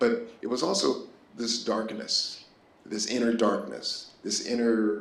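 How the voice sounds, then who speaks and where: A man talks at a fairly slow pace amid audible room echo and noticeable background noise. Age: 60s. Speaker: artist. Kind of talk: artist talk. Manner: halting.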